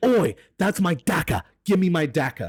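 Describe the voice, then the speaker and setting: This raspy, put-on character voice sits at a middle pitch and moves at a moderate pace. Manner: aggrieved, demanding.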